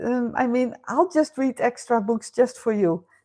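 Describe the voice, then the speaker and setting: A dark, mellow tone with a Dutch accent comes through at a fairly slow pace. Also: woman. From Netherlands. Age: 50s. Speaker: live stream host. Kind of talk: casual chat. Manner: hesitant with fillers.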